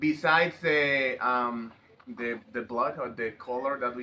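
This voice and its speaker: Someone speaks with a Mexican accent at a fairly slow pace. The intonation is fairly even. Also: man. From Mexico, Veracruz. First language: Spanish. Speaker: interviewee. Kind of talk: interview. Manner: halting.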